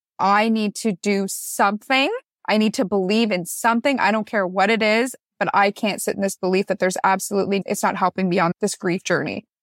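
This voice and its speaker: A woman with a Canadian accent and an unremarkable speaking voice talks at medium pitch with fairly even intonation and very even loudness, in a dry, close sound with no echo on a very clean recording with a silent background. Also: fairly quick pace. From Canada, Newmarket, Ontario. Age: 20s. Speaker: school social worker. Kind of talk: interview testimony.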